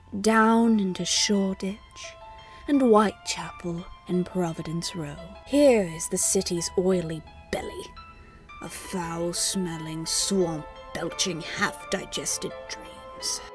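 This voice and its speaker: A put-on character voice at a fairly slow pace, with clear music in the background. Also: female-sounding voice, medium pitch for a woman. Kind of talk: gothic storytelling narration. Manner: theatrical, sly, gleefully spooky.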